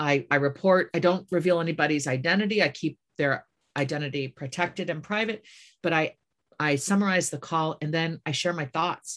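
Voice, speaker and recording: With an American accent, a woman uses a normal speaking voice that is fairly low in pitch with ordinary pitch variation. The recording is very clean, the background silent. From US Midwest. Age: 50s. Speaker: author. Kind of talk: interview.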